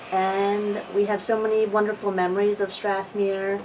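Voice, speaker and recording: With an American accent, the speaker talks at a fairly slow pace against noticeable background noise. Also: woman. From New Jersey (Audubon). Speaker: oral history interviewee. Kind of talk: casual reminiscing interview.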